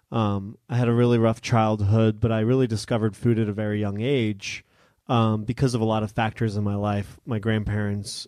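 A man with a General American accent, fairly low pitch, and dark, mellow tone, speaking at a moderate pace in monotone, flat intonation against a quiet background. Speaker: chef and cookbook author. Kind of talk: live interview. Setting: stage with audience.

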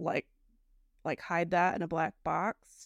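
A woman's unremarkable speaking voice, fairly low in pitch, at a fairly slow pace. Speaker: podcast co-host. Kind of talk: casual chat reviewing listener comments. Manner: casual, conversational.

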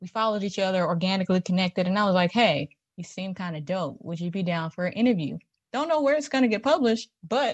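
A woman speaks at a medium pitch, somewhat breathy, with a dry, close sound, no echo, and a quiet background. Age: 20s. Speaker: entertainment writer. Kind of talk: casual debate. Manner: animated.

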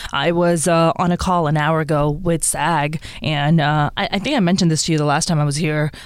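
The speech moves at a fairly quick pace with very even loudness and fairly even intonation over noticeable background noise. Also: woman, very deep, low pitch for a woman. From Pakistan, Karachi. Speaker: stand-up comedian. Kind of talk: casual chat. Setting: studio.

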